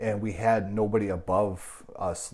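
A man speaks with an Upper Midwest US accent. His voice is somewhat breathy. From Wisconsin, Milwaukee. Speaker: martial arts instructor. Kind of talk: casual interview chat. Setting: studio.

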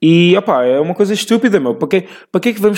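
In a European Portuguese accent, a man speaks with very wide pitch swings. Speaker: podcast host. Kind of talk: casual monologue. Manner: halting.

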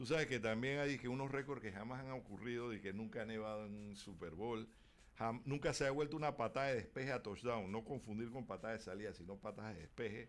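At a very fast pace, a man talks in a medium-pitched voice with ordinary pitch variation. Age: 50s. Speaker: sports radio co-host. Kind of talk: sports radio talk show. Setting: radio studio. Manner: halting, with many repeated words.

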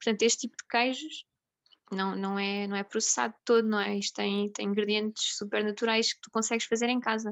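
Speaking at a fairly quick pace, a woman with a fairly high pitch keeps her intonation fairly even while her loudness swings widely. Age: 20s. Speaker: nurse and food blogger. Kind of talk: interview. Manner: halting, many repetitions and fillers.

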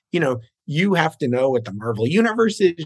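A man's plain, everyday voice at a moderate pace, with lively intonation over a quiet background. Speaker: screenwriter and producer. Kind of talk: casual interview chat.

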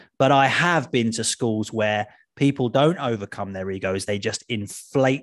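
A man with a plain, everyday voice speaks at a medium pitch and a fairly slow pace, his pitch varying in an ordinary way over a quiet background. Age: 40s. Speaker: podcast host and author. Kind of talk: casual interview chat. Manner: chatty, jokey, self-deprecating.

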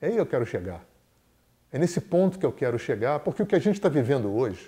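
A man talks with a dark, mellow tone on a very clean recording with a silent background. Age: 60s. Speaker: therapist and teacher. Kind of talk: lecture.

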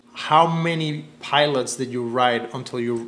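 Against noticeable background noise, a man speaks at a medium pitch and a fairly slow pace with fairly even intonation. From Cuba. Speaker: podcast host, filmmaker. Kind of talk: casual chat.

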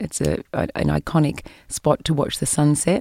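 With an Australian accent, a woman speaks in a very deep, low pitch. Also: dry, close sound with no echo. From New South Wales, Australia. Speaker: tourism executive. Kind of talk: interview. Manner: many hesitations (um).

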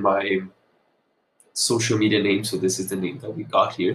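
In a Portuguese accent, a man speaks at a moderate pace, his voice somewhat breathy and his intonation monotone and flat. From Brazil, Brasilia. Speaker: podcast host, content creator. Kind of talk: solo podcast monologue. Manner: casual, with fillers.

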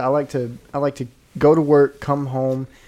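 A man with a Southern US accent, his tone dark and mellow, at a fairly slow pace. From Arkansas. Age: 20s. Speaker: podcast co-host. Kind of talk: casual chat.

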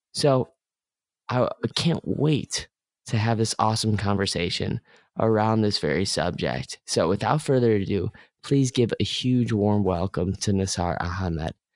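A man with an ordinary speaking voice talks at a fairly slow pace in a fairly low pitch with lively intonation. His loudness stays very even, and the sound is dry and close with no echo over a quiet background. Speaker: podcast host. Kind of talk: interview, host intro.

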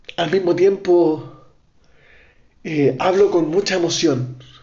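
With a Chilean accent, a man talks at a very slow pace with very wide pitch swings, and audible room echo surrounds his voice. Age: 20s. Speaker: podcaster. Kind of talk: political monologue. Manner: impassioned.

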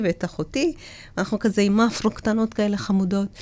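A woman with an Ethiopian accent in a very clean recording with a silent background. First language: Amharic (speaking Hebrew). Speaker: public speaker and former deputy mayor. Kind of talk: interview, personal life story. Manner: hesitant, with fillers.

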